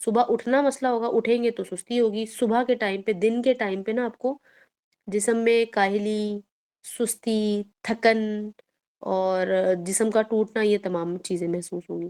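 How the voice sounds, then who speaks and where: A woman speaks at a fairly high pitch with a dark, mellow tone. Her intonation stays fairly even. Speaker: Islamic teacher. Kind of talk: religious lecture. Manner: stern, firm tone; plain, even tone.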